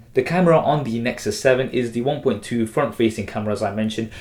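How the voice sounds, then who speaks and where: Against noticeable background noise, a man speaks at medium pitch. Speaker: tech reviewer. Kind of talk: product review. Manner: casual.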